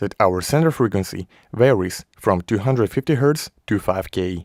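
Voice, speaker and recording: With a plain, everyday voice, a man speaks at a moderate pace and fairly low pitch with ordinary pitch variation, in a very clean recording with a silent background and dry, close sound with no echo. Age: 20s. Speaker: audio tutorial youtuber. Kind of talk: tutorial.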